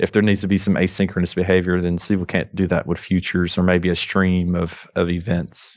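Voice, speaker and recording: A man's very deep, low voice, flat and monotone, with a strong Southern US accent. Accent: thick Southern US drawl. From North Alabama, US South. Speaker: software developer. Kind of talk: casual interview chat.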